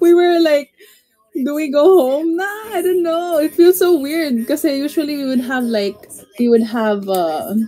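At a fairly slow pace, a woman speaks with a high pitch and lively intonation. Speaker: livestreamer. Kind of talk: casual livestream chat. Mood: cheerful, laughing. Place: home room. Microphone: phone near.

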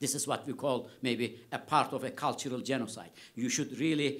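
A man with a Turkish accent at a moderate pace. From Turkey, Kars; Turkey. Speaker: history professor. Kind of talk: lecture. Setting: lecture hall with audience. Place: hall. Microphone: podium.

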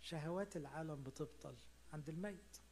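Over light background noise, a man speaks at a fairly slow pace and a fairly high pitch. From Egypt. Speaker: priest. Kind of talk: sermon. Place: hall. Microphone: handheld.

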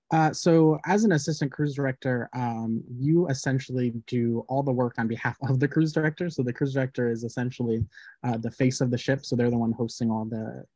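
Over a quiet background, a man with a dark, mellow tone talks at a fairly quick pace with ordinary pitch variation, the sound dry with no echo. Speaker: guest. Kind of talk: interview answer. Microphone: video call.

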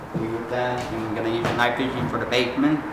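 A man is speaking. Noticeable background noise and audible room echo surround his voice. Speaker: paranormal investigation vlogger. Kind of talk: casual vlog chat. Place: factory. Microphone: camera far.

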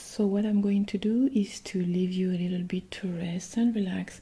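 Soft-spoken and somewhat breathy, a woman talks with a gentle tone, a dark, mellow quality and fairly even intonation. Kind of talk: ASMR roleplay talk to viewer. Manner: soft-spoken, gentle ASMR voice. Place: home room.

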